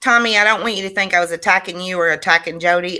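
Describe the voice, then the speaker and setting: Loud and animated, a woman speaks fairly quickly with a fairly low pitch and a bright, sharp tone on a very clean recording with a silent background. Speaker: school board member. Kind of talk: board meeting discussion.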